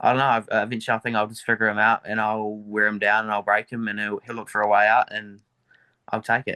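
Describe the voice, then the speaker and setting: Talking at a very fast pace, a man with a fairly low pitch and a bright, sharp tone keeps a monotone, flat intonation. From New Zealand, Dunedin. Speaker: MMA fighter. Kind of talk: interview. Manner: casual, hesitant with fillers.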